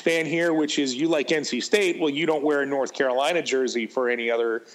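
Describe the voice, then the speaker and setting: A man with an American accent has a fairly high pitch and ordinary pitch variation. Noticeable background noise sits behind him. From Western New York. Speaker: sports radio host. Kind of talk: casual interview.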